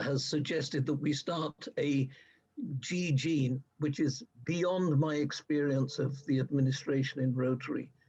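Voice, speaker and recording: A man with a fairly high, somewhat breathy voice speaks at a fairly slow pace, keeping his intonation fairly even and his loudness very even. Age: 80s+. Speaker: Rotarian, audience member. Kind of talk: Q&A remarks. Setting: online video meeting.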